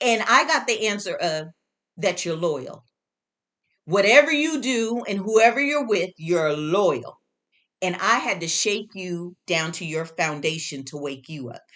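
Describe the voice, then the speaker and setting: A woman at a medium pitch speaks fairly slowly in a bright, sharp, animated tone, with very wide pitch swings and big swings in loudness. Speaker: herbalist and spiritual teacher. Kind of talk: motivational talk.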